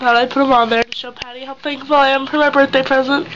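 Over noticeable background noise, a woman with a high pitch speaks at a fairly quick pace in a monotone, flat intonation. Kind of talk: casual vlog chat. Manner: sick, congested-sounding voice. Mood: thankful, self-deprecating. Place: home room. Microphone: phone near.

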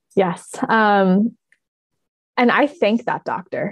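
With an American accent and a medium pitch, a woman speaks over a quiet background. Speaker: visibility coach and publisher. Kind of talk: casual interview. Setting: remote call. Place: home room. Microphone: video call.

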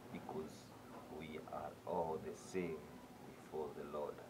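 A man keeps a moderate pace while loud background noise carries on around him. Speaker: vlogger. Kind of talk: casual vlog chat, moral talk and outro in Swahili with English. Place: home room. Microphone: phone near.

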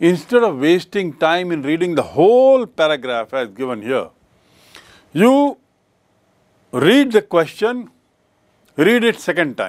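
A man with a high pitch speaks in very wide pitch swings, leaving long, frequent pauses. The background is quiet. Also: fairly slow pace. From India. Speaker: English teacher. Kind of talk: lecture. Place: studio.

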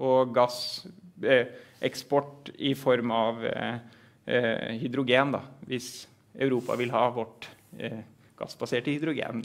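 Speaking very slowly with long, frequent pauses, a man holds a medium pitch in a monotone, flat delivery. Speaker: professor. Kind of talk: lecture. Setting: stage with audience. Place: meeting room. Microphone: headset.

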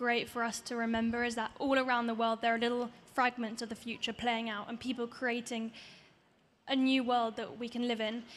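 At a moderate pace, a woman speaks in a high pitch. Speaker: environmental activist; panelist. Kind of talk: panel discussion. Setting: stage with audience. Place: stage. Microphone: handheld.

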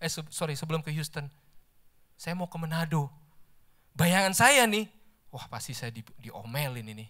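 A man's bright, sharp tone, fairly high in pitch, with lively intonation, big swings in loudness, long and frequent pauses, a moderate pace and a quiet background. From Indonesia. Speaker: lay preacher, office employee; lay preacher. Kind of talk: sermon. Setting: church service. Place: church. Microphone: handheld.

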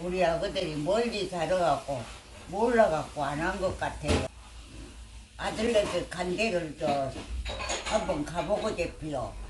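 Very slow speech from a woman, broken by long, frequent pauses, over noticeable background noise. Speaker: elderly woman living alone. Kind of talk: interview answer. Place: home room. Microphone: phone near.

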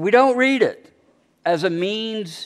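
A man talks against a quiet background. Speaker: bible study teacher. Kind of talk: sermon. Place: church.

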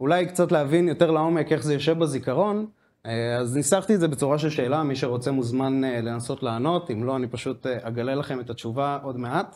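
A man's fairly high voice, an unremarkable speaking voice, moves at a moderate pace with ordinary pitch variation. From Israel. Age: 20s. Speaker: software developer; speaker. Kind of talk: conference talk. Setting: stage with audience. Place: office. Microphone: handheld.

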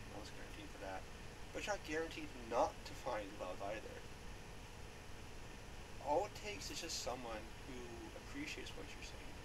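A woman speaks at a moderate pace. Loud noise fills the background. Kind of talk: casual talk to camera. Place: home room. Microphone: webcam.

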